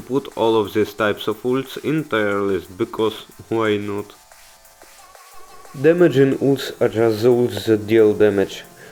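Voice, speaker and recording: With music in the background, a man talks fairly slowly at medium pitch, his pitch varying in an ordinary way. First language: not English. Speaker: gaming video creator. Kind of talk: game guide voiceover. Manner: casual, humorous.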